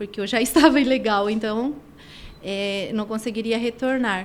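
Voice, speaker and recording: With a normal speaking voice, a woman talks at a fairly slow pace and fairly high pitch, keeping her intonation fairly even. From Argentina. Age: 50s. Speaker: women's personal development coach. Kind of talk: podcast interview, personal testimony.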